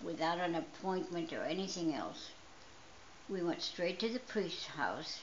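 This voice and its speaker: A woman's fairly low pitch with ordinary pitch variation at a moderate pace, amid noticeable background noise and audible room echo. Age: 80s+. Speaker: storyteller. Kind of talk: personal storytelling.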